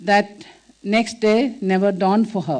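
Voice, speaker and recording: With a Keralan accent, a woman talks at a fairly slow pace and with ordinary pitch variation. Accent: Indian English, Malayali. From India, Kerala (village). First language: Malayalam. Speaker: nun and social worker. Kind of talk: inspirational talk. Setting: stage with audience. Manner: halting, many fillers.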